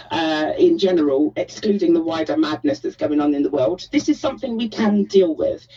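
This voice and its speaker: The speech moves at a fairly quick pace with hardly any pauses. Noticeable background noise runs underneath. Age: 30s. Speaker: caller. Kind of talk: phone-in call. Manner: animated.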